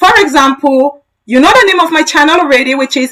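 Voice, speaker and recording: In a bright, sharp tone, a woman speaks at a high pitch with a raised, projected voice. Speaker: tech educator. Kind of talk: live-stream tutorial. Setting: live stream.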